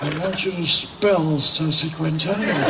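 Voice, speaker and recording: The speaker moves at a fairly slow pace with ordinary pitch variation over noticeable background noise. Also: man. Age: 80s+. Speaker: commencement speaker. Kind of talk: commencement address.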